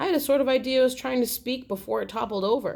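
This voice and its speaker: A woman performs a put-on character voice, high in pitch. She races along at a very fast pace. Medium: read story.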